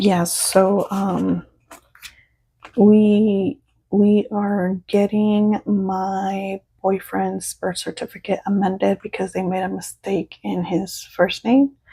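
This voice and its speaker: A woman with a Spanish accent, medium pitch and a dark, mellow, somewhat breathy tone, very slow and monotone, flat in intonation. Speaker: budgeting YouTuber. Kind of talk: casual vlog tutorial. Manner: casual, halting with fillers.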